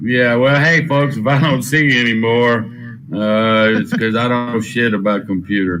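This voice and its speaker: Speaking with a Texas accent, a man talks at a moderate pace and medium pitch, with ordinary pitch variation and very even loudness. Audible room echo and noticeable background noise surround him. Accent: Texas twang. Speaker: gambling content creator. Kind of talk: casual chat.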